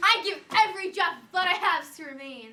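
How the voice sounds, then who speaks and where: This is a put-on character voice. It is pitched extremely high. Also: fairly quick pace. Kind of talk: comic stage acting. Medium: stage play.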